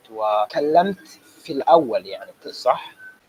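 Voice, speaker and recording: Against noticeable background noise, a man with a Somali accent speaks at a fairly slow pace. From Sweden and Tanzania, Somali family. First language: Somali (speaking Arabic). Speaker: Arabic language student. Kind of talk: interview. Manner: halting.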